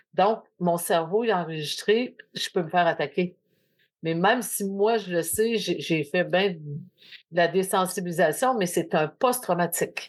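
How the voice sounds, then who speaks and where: A woman talks in a plain, everyday voice at a medium pitch. The background is quiet. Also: ordinary pitch variation, fairly slow pace. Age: 60s. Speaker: podcast host. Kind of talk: casual chat.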